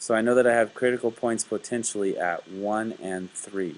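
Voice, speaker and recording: Using a plain, everyday voice, a man speaks at a fairly low pitch with ordinary pitch variation. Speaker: math teacher. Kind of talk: tutorial. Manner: casual.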